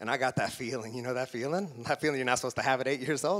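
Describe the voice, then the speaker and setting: Animated in tone, a man talks with an American accent. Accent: Oklahoma accent, comes through at times. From Oklahoma, small town. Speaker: motivational speaker. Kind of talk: motivational speech. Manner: animated storytelling.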